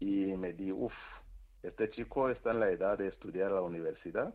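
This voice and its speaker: A man's plain, everyday voice, fairly low in pitch, at a moderate pace. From Rwanda. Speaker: priest and charity founder. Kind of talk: radio interview.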